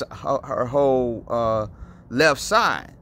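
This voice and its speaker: A man speaks with ordinary pitch variation, his voice dry with no echo over light background noise. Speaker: faith vlogger. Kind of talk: casual vlog chat. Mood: serious, concerned. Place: street.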